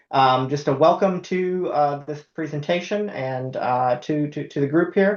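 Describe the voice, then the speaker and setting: Speaking at a fairly slow pace, a man with an American accent uses a fairly high pitch and ordinary pitch variation. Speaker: university IT department head. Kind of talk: conference presentation. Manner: hesitant, many fillers.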